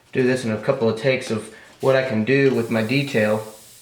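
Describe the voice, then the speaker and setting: A man speaks fairly quickly in a monotone, flat way. Noticeable background noise and audible room echo surround him. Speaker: airbrush artist. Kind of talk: tutorial. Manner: fast; casual, hesitant fillers.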